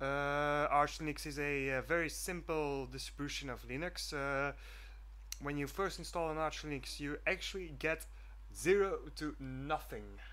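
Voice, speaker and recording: A man with a Flemish accent talks at a fairly slow pace. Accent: Flemish Dutch accent in English. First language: Dutch. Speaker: student programmer vlogger. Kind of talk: screencast vlog. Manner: halting, many fillers.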